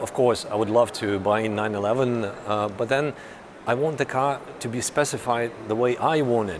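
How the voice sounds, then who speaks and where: A man with a Russian accent speaks at a moderate pace, his medium pitch moving with ordinary variation. Noticeable background noise sits under his voice. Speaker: car journalist. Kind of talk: vlog. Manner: halting.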